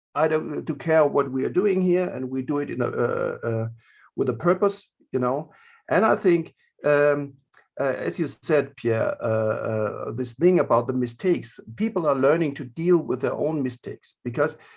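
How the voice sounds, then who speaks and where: Against a quiet background, a man with a German accent speaks with lively intonation. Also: fairly high pitch for a man, moderate pace. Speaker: art therapist in prisons. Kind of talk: panel discussion. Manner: halting, many fillers.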